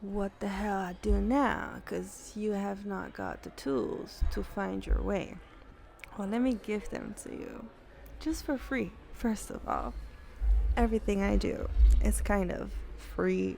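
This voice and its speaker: A soft-spoken voice at a very slow pace, with music in the background and audible room echo. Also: woman. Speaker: spiritual channeler giving readings. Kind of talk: spiritual monologue to camera. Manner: soft, low volume; calm.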